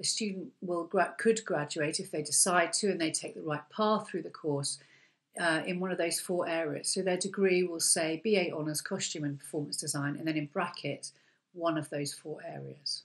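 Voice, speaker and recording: A woman's plain, everyday voice at a fairly low pitch, with ordinary pitch variation, a moderate pace and a quiet background. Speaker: course lecturer. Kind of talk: webinar presentation. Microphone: webcam.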